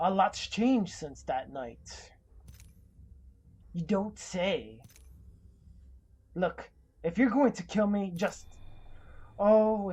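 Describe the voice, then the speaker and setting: In a put-on character voice that sounds female, pitched medium for a woman, the speaker goes at a very slow pace with long, frequent pauses. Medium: video game. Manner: cool, cutting.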